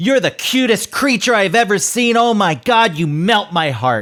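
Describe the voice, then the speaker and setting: Recorded very cleanly against a silent background, a man does a put-on character voice, pitched high, at a moderate pace. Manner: mean, harsh, scary tone.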